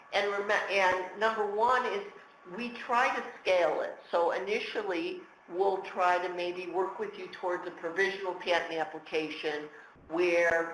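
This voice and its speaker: A woman talks at a fairly slow pace with fairly even intonation and a medium pitch. Noticeable background noise and audible room echo surround her voice. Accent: American. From United States. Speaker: patent lawyer. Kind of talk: webinar Q&A. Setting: webinar.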